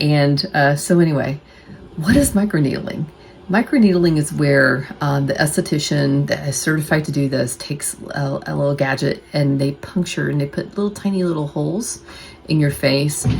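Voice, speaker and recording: A woman with an American accent speaks at a moderate pace in a very deep, low pitch, with ordinary pitch variation and noticeable background noise. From United States. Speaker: nurse and bariatric surgery vlogger. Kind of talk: casual vlog talk to camera. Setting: at home. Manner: quieter than usual, not projecting.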